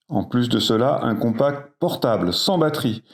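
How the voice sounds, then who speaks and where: On a very clean recording with a silent background, a man talks at a very slow pace. His medium-pitched voice has lively intonation. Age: 60s. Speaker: emergency doctor. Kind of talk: interview.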